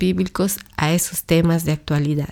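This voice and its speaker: A woman talks fairly slowly, the recording very clean and the background silent. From Latin America. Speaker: podcast host and church ministry worker. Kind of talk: scripted monologue.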